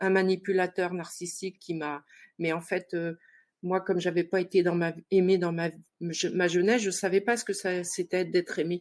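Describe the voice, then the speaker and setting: A woman's fairly low, flat, monotone voice at a moderate pace. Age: 60s. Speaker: participant seeking love advice. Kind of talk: personal testimony on a talk show. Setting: online live show. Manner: hesitant, many fillers.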